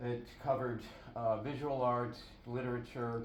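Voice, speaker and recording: A man with a medium pitch speaks at a fairly slow pace, with noticeable background noise and audible room echo. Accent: American. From Buffalo, New York, US. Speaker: artist. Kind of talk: artist talk at a gallery. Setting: gallery with audience. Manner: halting, many fillers.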